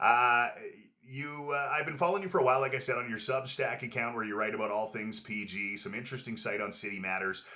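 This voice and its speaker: With a Canadian accent, a man talks at a very fast pace and medium pitch with ordinary pitch variation, amid noticeable background noise and audible room echo. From Prince George, British Columbia, Canada. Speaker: podcast host, former radio host. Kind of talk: casual interview chat. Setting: studio with camera. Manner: polished radio delivery.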